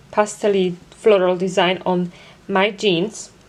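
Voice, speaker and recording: A woman with a non-native accent speaks at a very slow pace. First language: not English. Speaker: embroidery podcaster. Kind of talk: product review. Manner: hesitant, many fillers.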